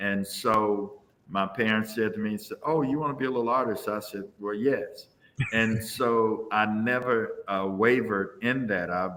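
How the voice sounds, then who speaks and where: At a fairly slow pace, the speaker uses an ordinary speaking voice with fairly even intonation. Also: man, medium pitch for a man. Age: 60s. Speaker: visual artist. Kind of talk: interview.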